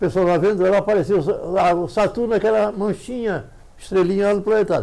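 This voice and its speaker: A man speaks at a moderate pace. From Santa Catarina, Brazil. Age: 90s. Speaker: amateur astronomer. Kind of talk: interview.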